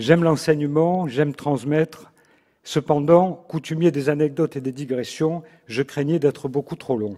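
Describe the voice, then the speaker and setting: Here a man speaks fairly slowly in a fairly high pitch with a dark, mellow tone. His intonation stays fairly even. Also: dry, close sound with no echo. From Marseille, southern France. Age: 60s. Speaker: surgeon, congress president. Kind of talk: formal presidential speech. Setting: stage with audience. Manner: formal.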